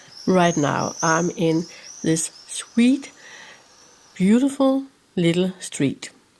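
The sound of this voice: A woman's fairly low, slightly mellow voice with lively intonation, at a very slow pace.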